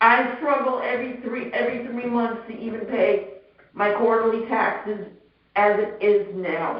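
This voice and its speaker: Audible room echo surrounds the voice. A woman speaks at a fairly high pitch. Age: 60s. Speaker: homeowner appealing assessment. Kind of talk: public hearing testimony. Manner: halting.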